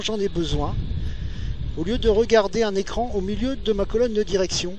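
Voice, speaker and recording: A man speaks in a high pitch at a fairly quick pace. Noticeable background noise can be heard. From northern France (Nord-Pas-de-Calais). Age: 40s. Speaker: motorcycle vlogger. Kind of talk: casual monologue while riding. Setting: riding a motorcycle outdoors. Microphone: recorded via GPS headset mic, poor sound.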